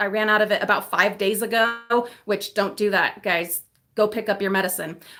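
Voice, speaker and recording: A woman's fairly high voice with a bright, sharp tone. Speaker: YouTube livestream host. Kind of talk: casual livestream chat.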